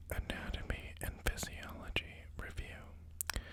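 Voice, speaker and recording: A man whispers over noticeable background noise. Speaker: new ASMR creator. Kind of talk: ASMR reading of educational text. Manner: whispered, soft-spoken.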